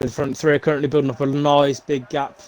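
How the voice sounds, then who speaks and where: A man speaks at a fairly quick pace with a British accent and a fairly high pitch. Noticeable background noise runs behind him. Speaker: esports race commentator. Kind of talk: live commentary.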